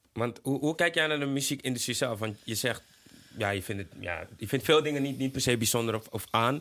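On a very clean recording with a silent background, a man talks fairly quickly at medium pitch in a bright, sharp tone with ordinary pitch variation. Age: 20s. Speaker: podcast host. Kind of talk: casual chat. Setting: studio.

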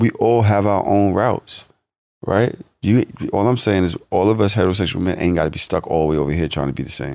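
With vocal fry and lively intonation, a man talks at a fairly quick pace. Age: 40s. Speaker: podcast guest. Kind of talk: casual chat.

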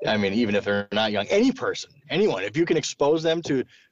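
Talking at a fairly quick pace, a man with an American accent uses an ordinary speaking voice with lively intonation. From South Dakota, US (Sioux Falls). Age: 30s. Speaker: rock musician. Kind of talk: casual chat.

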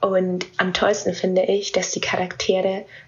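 A woman speaks at a fairly slow pace with a medium pitch, over noticeable background noise. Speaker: listener. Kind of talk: voice message.

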